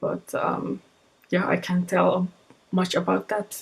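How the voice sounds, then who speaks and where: Very slowly, a woman speaks at a medium pitch. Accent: Finnish. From northern Finland, Lapland. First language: Finnish. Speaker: webcomic artist vlogger. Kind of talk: casual vlog talk. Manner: halting, many repetitions.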